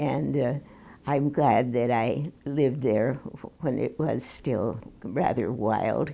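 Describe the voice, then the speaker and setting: The voice has a dark, mellow tone and ordinary pitch variation. It moves at a very slow pace with very even loudness. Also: woman, very deep, low pitch for a woman. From Minneapolis, Minnesota. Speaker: retired piano teacher. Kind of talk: oral history interview. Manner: halting, with hesitations and restarts.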